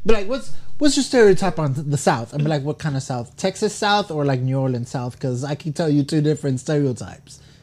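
The voice is somewhat breathy. It moves at a fairly quick pace with hardly any pauses. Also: man, fairly high pitch for a man. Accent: American. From California. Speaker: podcast co-host. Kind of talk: casual chat.

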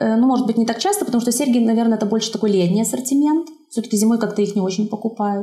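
Her voice is fairly high for a woman, somewhat breathy, with a dark, mellow tone and ordinary pitch variation. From Belarus, Zhabinka near Brest. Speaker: watercolour artist and craftswoman. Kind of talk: casual interview.

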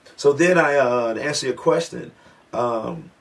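With noticeable background noise behind him, a man keeps his intonation fairly even. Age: 50s. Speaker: radio host and DJ. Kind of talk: casual chat. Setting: studio.

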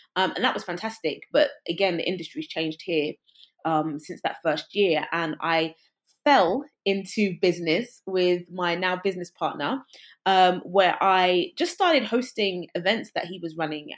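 With a London accent, a woman talks at a moderate pace in a medium pitch with ordinary pitch variation. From England, West London. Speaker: creative entrepreneur and musician. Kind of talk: casual interview.

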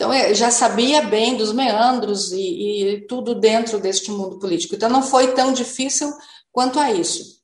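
A woman with a normal speaking voice talks fairly slowly at a fairly high pitch, with ordinary pitch variation. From Novo Hamburgo, Rio Grande do Sul, Brazil. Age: 50s. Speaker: mayor. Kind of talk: radio interview.

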